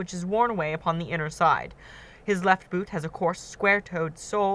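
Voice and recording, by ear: The text is read aloud in a natural voice.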